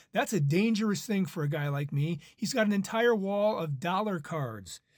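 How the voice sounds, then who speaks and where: Heard on a very clean recording with a silent background, a man with a high pitch speaks with ordinary pitch variation. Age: 60s. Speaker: baseball card collector and channel host. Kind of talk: casual chat. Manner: halting.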